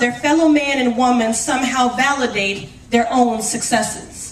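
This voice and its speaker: A woman speaks loudly and with a passionate tone, her pitch high and ordinarily varied. She talks at a fairly slow pace against noticeable background noise. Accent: American. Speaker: city councilor. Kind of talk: award acceptance speech. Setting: stage with audience.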